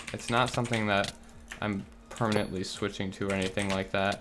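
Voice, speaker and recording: A quiet man's fairly low voice amid noticeable background noise. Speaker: gaming YouTuber. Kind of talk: gameplay commentary. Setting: home recording, roommates asleep. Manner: quiet, keeping voice low; relaxed, chill.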